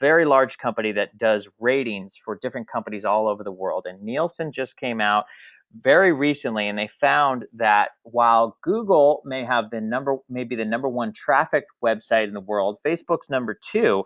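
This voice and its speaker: Speaking in an unremarkable speaking voice, a man keeps to a medium pitch with ordinary pitch variation. His pace is moderate. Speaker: marketing trainer. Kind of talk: webinar presentation.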